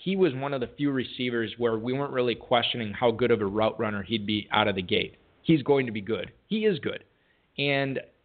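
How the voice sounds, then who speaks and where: A man speaks at a fairly quick pace with an unremarkable speaking voice. His pitch is medium with ordinary variation. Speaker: fantasy football radio show host. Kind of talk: casual chat and interview. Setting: live radio broadcast studio.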